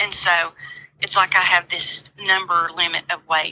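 The voice is monotone with flat intonation. The sound is dry and close with no echo, but noticeable background noise. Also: woman. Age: 50s. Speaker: host's mother. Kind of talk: phone chat.

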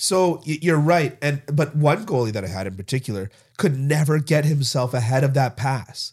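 Here a man speaks with a fairly high pitch and a somewhat breathy voice. His intonation is lively and his pace moderate, on a very clean recording with a silent background. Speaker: podcast co-host. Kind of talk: casual sports talk chat. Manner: laughs often.

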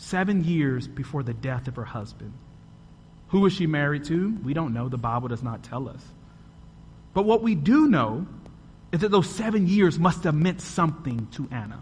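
With a dramatic tone and lively intonation, a man speaks in a fairly high, somewhat breathy voice at a moderate pace, leaving long, frequent pauses amid audible room echo. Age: 30s. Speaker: podcast host and guest preacher. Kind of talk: Sunday sermon from the pulpit, rhetorical questions and testimony. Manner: dramatic, building cadence with rhetorical questions; earnest, rhythmic repetition of paired phrases.

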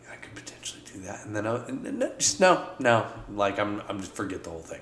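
A man whispers at a fairly quick pace with hardly any pauses and big swings in loudness, over noticeable background noise. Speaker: podcast co-host. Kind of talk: casual banter. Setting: studio.

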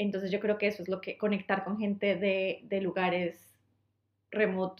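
A woman with a Colombian accent speaks at a medium pitch with monotone, flat intonation. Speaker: podcast co-host. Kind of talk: casual chat. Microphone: poor recording quality.

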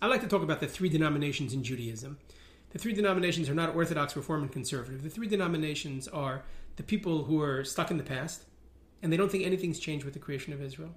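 Spoken at a very fast pace with a New York accent, the voice carries ordinary pitch variation. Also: man, fairly high pitch for a man. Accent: New York American. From New York (Riverdale). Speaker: rabbi and religious activist. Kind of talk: interview.

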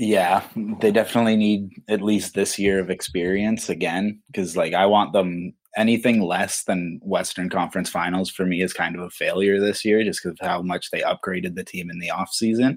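With a Canadian accent, a man speaks in a plain, everyday voice at a fairly low pitch and moderate pace, his intonation fairly even and hardly any pauses, on a very clean recording with a silent background. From Ontario, Canada. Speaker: sports fan. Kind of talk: casual chat.

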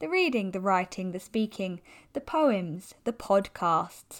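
A woman with an unremarkable speaking voice talks at a moderate pace with lively intonation in a very clean recording with a silent background. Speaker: hypnotherapist and coach. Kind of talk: poem read aloud, spoken word. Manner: rhythmic, rhyming, measured delivery; warm, uplifting, earnest.

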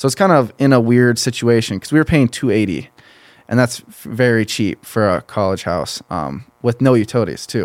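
With an American accent and an ordinary speaking voice, a man talks at a moderate pace and medium pitch, his intonation lively and his loudness swinging widely, in a very clean recording with a silent background. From southern Minnesota, US. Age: 20s. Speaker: college football player and entrepreneur. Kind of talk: casual interview. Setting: studio.

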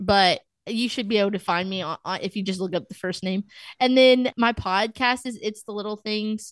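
A woman with a Texan accent at a moderate pace, fairly even in intonation, over a quiet background. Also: medium pitch for a woman, dry, close sound with no echo. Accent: Texan American. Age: 20s. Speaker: college student and podcaster. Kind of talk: casual interview chat.

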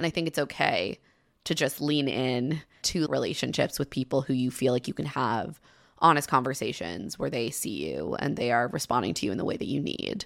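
With an American accent, a woman speaks at a fairly quick pace in a very deep, low pitch, with vocal fry and very wide pitch swings. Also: very clean recording, silent background. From US suburbs. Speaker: podcast host. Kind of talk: casual chat.

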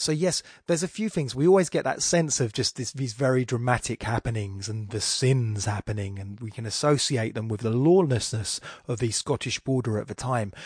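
Against a quiet background, a man with an Estuary accent speaks at a fairly quick pace and medium pitch, somewhat breathy, with lively intonation. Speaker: poetry podcast host. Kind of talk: literary lecture monologue. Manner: casual, conversational.

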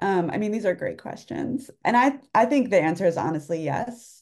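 With lively intonation, a woman speaks at a fairly slow pace in an unremarkable speaking voice. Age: 40s. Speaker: writer and newsletter author. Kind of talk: casual interview chat.

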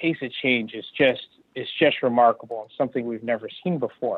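Delivered at a moderate pace, a normal speaking voice with an American accent shows ordinary pitch variation. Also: man. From US West Coast, California. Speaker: tech executive. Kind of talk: interview. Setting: phone call.

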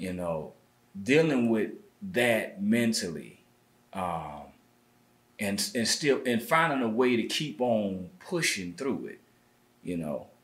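A man at a very slow pace, long and frequent pauses, very wide pitch swings and vocal fry. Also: medium pitch for a man. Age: 30s. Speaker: music producer and artist. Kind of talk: casual interview.

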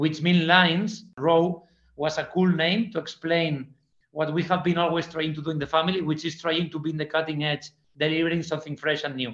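Fairly quick speech with a Spanish accent. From Spain (Fraga, Aragon). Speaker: party promoter. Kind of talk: interview. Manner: halting, repeats words.

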